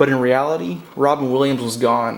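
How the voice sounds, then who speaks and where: A man with a fairly high voice and ordinary pitch variation speaks over noticeable background noise. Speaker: poet. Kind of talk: spoken word poetry.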